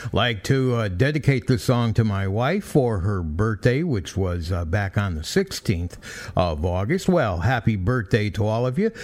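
Over music in the background, a man with a medium pitch speaks at a fairly slow pace with lively intonation. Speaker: radio DJ. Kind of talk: oldies radio DJ patter, jaunty song back-announcing and intros. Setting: radio studio. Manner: breezy, upbeat, punny showman banter; chirpy, playfully exuberant.

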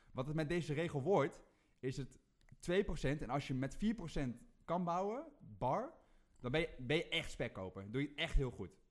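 A man speaks in a normal speaking voice at a moderate pace, his intonation lively. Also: fairly high pitch for a man. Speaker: rant-giving guest. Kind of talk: angry rant, mocking parody. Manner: fired up, sarcastic, loud; ranting, macho swagger.

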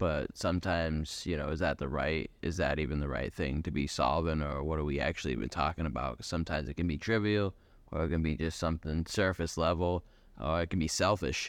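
A very deep, low male voice with vocal fry at a fairly quick pace, over a quiet background. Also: ordinary pitch variation. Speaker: creative industry professional. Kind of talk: casual chat. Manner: rambling, scattered.

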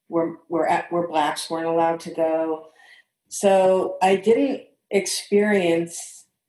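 A woman speaks very slowly in an American accent. Her fairly low pitch shows ordinary variation. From St. Louis, Missouri, US Midwest. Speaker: interview guest. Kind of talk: casual interview.

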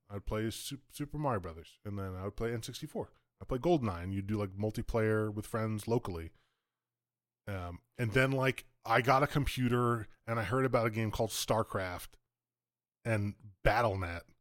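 The recording is very clean, with a silent background. A man talks in an unremarkable speaking voice, fairly low in pitch with ordinary variation. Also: moderate pace. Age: 30s. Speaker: podcast co-host, laid-off IT worker. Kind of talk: casual chat.

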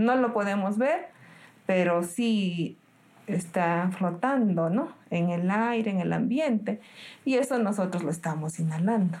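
The woman's voice is somewhat breathy. She speaks at a fairly slow pace. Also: medium pitch for a woman, lively intonation, very even loudness. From Peru, Cerro de Pasco. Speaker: nurse. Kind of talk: interview.

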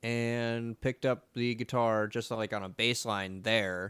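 A man with a medium pitch on a very clean recording with a silent background. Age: 20s. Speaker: podcast host and photographer. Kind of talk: solo casual monologue. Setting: home recording on computer. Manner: filler-heavy, conversational.

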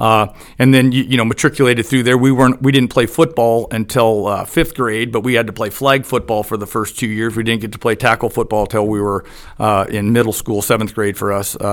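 A man with an American accent has a normal speaking voice at a medium pitch. He talks at a fairly quick pace with fairly even intonation. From US Pacific Northwest (Eugene, Oregon). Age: 50s. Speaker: former high school baseball head coach. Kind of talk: casual interview.

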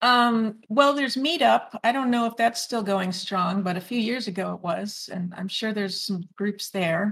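A woman with a Midwestern US accent talks at a moderate pace and a fairly high pitch. She barely pauses, and her pitch varies in an ordinary way. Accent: US Midwest. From Illinois, US (northwest Chicago suburbs). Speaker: French teacher and author. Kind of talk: interview.

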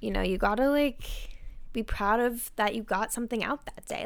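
In a very clean recording with a silent background, a woman speaks at a fairly quick pace in a high voice. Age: 20s. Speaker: podcast host and private chef. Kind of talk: solo podcast monologue.

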